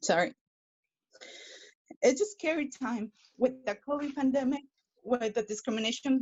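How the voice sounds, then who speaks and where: A high-pitched woman's voice with a Spanish accent, moderate pace, and long, frequent pauses. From Mexico. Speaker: public commenter at board meeting. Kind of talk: public comment. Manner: halting.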